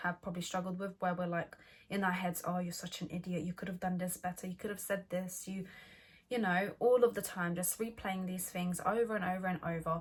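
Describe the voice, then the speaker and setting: Somewhat breathy, the voice moves along at a fairly quick pace. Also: woman. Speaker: mindfulness vlogger. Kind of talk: casual vlog talk. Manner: halting; partly scripted.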